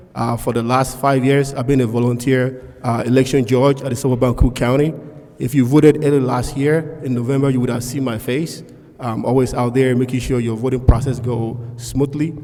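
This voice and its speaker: A man with a non-native accent talks at a fairly quick pace and medium pitch. His intonation is monotone and flat over noticeable background noise. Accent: noticeable foreign. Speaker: school board candidate, pharmacist. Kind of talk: candidate forum speech.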